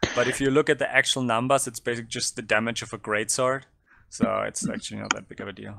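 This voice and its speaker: A man speaks at a very fast pace with big swings in loudness, on a very clean recording with a silent background. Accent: German. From southern Germany. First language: German. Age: 30s. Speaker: tabletop game player. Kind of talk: casual interview. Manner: halting, many fillers.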